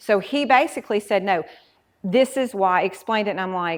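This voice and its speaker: Against a silent background on a very clean recording, a woman with a Southern US accent speaks with lively intonation. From Mississippi, US South. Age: 40s. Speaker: meadery owner, former kindergarten teacher. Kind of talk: interview.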